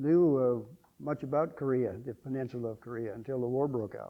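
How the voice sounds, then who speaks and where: In a Midwestern American accent, a man speaks at a moderate pace. His pitch is fairly high, with ordinary pitch variation. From Iowa, US Midwest. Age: 90s. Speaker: Korean War veteran. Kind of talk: interview testimony. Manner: halting, many fillers.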